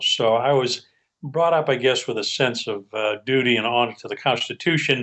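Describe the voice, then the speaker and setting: A man speaks at a moderate pace with medium pitch in a plain, everyday voice. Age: 60s. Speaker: criminal defense attorney. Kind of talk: interview. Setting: studio.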